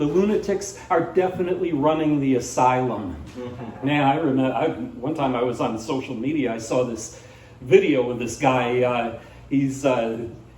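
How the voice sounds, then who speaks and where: Ordinary pitch variation at a moderate pace, amid audible room echo and noticeable background noise. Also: man, medium pitch for a man. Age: 60s. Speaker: stand-up comedian. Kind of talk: stand-up. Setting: stage with audience. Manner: halting, with many fillers.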